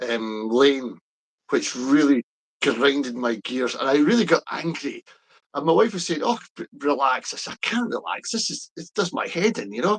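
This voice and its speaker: A man speaks at a fairly high pitch and a moderate pace, with very wide pitch swings. The sound is dry and close with no echo. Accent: Scottish. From Scotland. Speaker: pro-independence political commentator. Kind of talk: casual chat. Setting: live stream. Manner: hesitant, many fillers.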